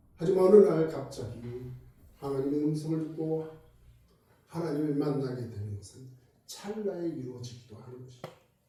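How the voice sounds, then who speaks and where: A man speaks at a moderate pace with a fairly high pitch, ordinary pitch variation and big swings in loudness. He leaves long, frequent pauses, and audible room echo surrounds him. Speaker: pastor. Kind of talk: sermon.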